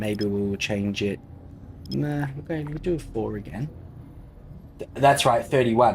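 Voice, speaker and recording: With an Australian accent, a man of medium pitch speaks at a fairly slow pace with lively intonation over noticeable background noise. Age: 30s. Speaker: gaming streamer. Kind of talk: casual live-stream chat with gameplay commentary. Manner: casual, relaxed.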